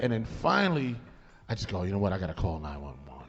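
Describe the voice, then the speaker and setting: A loud man's voice with very wide pitch swings and audible room echo. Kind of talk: casual chat, storytelling. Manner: animated.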